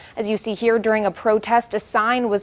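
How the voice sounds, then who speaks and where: With an American accent, a woman speaks at a moderate pace and fairly high pitch over noticeable background noise. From Los Angeles, California. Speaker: TV news anchor and reporter. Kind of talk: broadcast news anchor and reporter reel.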